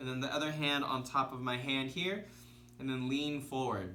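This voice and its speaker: A man speaks in an excited tone. Audible room echo surrounds his voice. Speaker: self-healing coach. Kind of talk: tutorial. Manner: excited earlier in video; slowed, relaxed pace.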